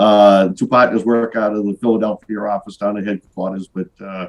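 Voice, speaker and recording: This man talks at a moderate pace with a Boston accent. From Boston area, Massachusetts. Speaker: business owner, sales rep. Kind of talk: casual interview. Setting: video call. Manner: hesitant, many fillers.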